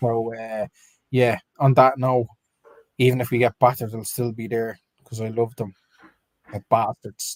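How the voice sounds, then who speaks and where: A man with an Irish accent speaks at medium pitch and a moderate pace, his intonation flat and monotone. Long pauses come often, and the sound is dry and close with no echo. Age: 30s. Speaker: football fan podcast co-host. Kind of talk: live stream match reaction chat.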